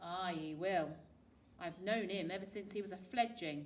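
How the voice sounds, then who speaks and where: A female-sounding put-on character voice, gruff and middle-pitched, at a moderate pace over clear background noise. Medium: read story. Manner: curt, gruff.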